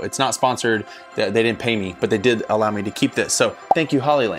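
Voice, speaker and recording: The delivery comes at a very fast pace with ordinary pitch variation. Faint music sits in the background. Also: man. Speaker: worship leader vlogger. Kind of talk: casual vlog chat. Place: home room. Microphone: lapel.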